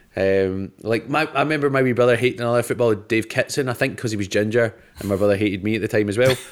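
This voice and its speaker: Talking very fast with hardly any pauses, a man with a Scottish accent uses a medium pitch and ordinary pitch variation. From Scotland. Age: 30s. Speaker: comedian. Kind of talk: casual chat.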